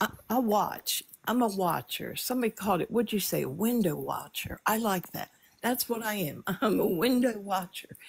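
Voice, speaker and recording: The voice carries vocal fry and ordinary pitch variation. It moves at a moderate pace. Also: woman, medium pitch for a woman. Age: 70s. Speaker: livestream viewer guest. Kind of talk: casual chat. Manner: halting.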